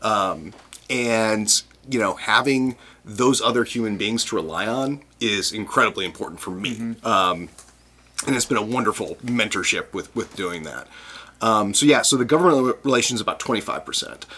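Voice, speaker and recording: A man with an American accent and an unremarkable speaking voice, medium in pitch, at a moderate pace with ordinary pitch variation. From US Midwest, Chicago. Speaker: brewers' trade association director. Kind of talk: casual interview.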